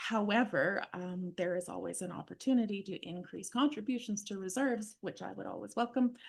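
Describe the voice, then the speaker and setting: A woman with vocal fry speaks at a fairly quick pace with hardly any pauses, her loudness swinging widely while her pitch varies in an ordinary way. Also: medium pitch for a woman. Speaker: municipal finance staff. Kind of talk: council meeting.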